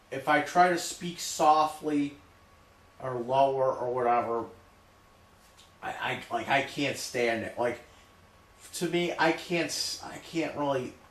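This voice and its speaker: With audible room echo and noticeable background noise, a man speaks fairly slowly at a fairly high pitch, with ordinary pitch variation and long, frequent pauses. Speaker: streamer. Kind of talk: casual chat. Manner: loud.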